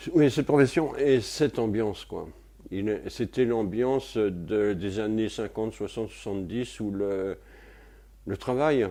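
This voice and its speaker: A man's fairly low voice, dark and mellow in tone, with ordinary pitch variation and a very slow pace. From France, Paris. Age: 70s. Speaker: retired physics and chemistry lecturer. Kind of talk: interview testimony. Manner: hesitant, many fillers.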